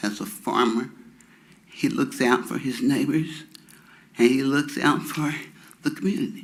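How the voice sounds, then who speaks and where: A man talks fairly slowly, and his voice carries audible room echo. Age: 70s. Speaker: resident speaking at public hearing. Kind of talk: public comment. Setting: city council chamber.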